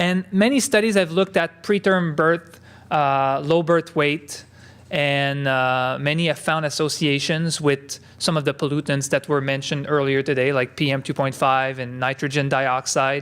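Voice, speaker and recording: A man with a French Canadian accent talks at a moderate pace, his fairly high pitch varying in an ordinary way. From Quebec. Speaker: epidemiologist. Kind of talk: conference talk. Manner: halting, many filler words.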